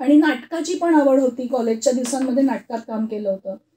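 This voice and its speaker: She speaks at a high pitch with ordinary pitch variation. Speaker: radio news reader. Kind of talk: interview answer.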